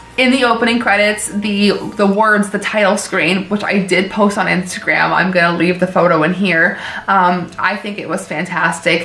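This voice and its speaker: A woman of medium pitch at a moderate pace with fairly even intonation, amid noticeable background noise and audible room echo. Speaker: horror movie YouTuber. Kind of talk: casual movie review. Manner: casual, many fillers.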